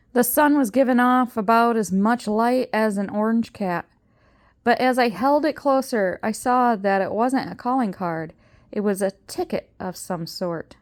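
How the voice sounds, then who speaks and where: In a very clean recording with a silent background, a normal speaking voice shows ordinary pitch variation. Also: woman, fairly high pitch for a woman. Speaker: grandmother reading books aloud. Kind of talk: audiobook reading of a children's novel.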